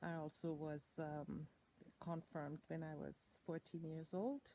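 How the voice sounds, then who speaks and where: A woman's dark, mellow tone with a German accent. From Germany. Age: 60s. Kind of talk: personal testimony.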